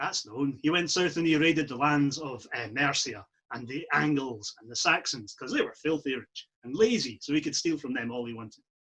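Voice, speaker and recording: A man talks fairly quickly in a fairly high pitch, with hardly any pauses and a bright, sharp tone. His loudness swings widely. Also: ordinary pitch variation. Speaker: storyteller, historical re-enactor. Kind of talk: live storytelling to an audience.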